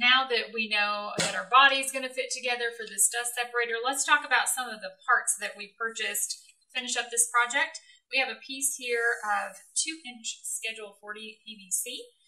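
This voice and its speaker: A woman talks at a moderate pace in a high voice with a bright, sharp tone and ordinary pitch variation. Her loudness swings widely against a quiet background. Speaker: woodworking video co-host. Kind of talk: tutorial. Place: workshop.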